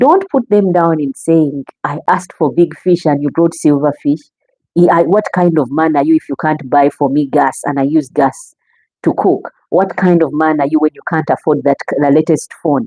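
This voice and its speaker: In a Ugandan accent, a woman speaks at a moderate pace in a very deep, low voice with a dark, mellow tone and ordinary pitch variation, the sound dry and close with no echo. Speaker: relationship talk show host. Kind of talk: live stream talk. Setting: live stream.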